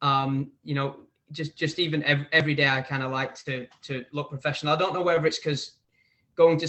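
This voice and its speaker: With an English accent, a man talks at a fairly quick pace. His fairly high voice stays monotone and flat. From northern England, near Manchester, Preston and Bolton. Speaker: barber and hair educator. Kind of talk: casual interview chat.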